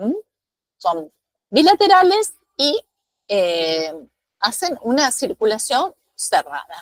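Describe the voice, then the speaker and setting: A woman speaks very slowly, leaving long, frequent pauses. Her high voice swings very widely in pitch, and the sound is dry and close with no echo. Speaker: acupuncture teacher. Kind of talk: lecture.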